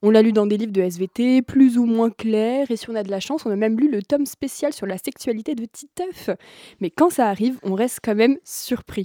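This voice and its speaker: A woman with a fairly high pitch and a dark, mellow tone talks at a moderate pace with ordinary pitch variation, in a dry, close sound with no echo. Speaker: film columnist. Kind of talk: radio discussion. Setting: studio.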